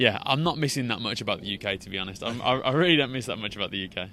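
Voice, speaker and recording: Very fast male speech with an English accent, medium in pitch, bright and sharp in tone, with lively intonation. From England. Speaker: business owner and social media creator. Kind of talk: podcast interview. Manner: halting, many repeated words.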